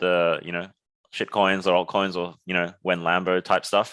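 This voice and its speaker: Against a quiet background, a man with an Australian accent speaks with a bright, sharp tone and a very deep, low pitch. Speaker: startup founder, former surgeon. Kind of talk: podcast interview.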